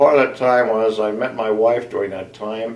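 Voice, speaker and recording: With an American accent, a man at a medium pitch speaks at a fairly slow pace amid audible room echo. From US Midwest, southeastern Ohio. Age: 70s. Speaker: retired engineer. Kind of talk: personal interview. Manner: halting, many fillers.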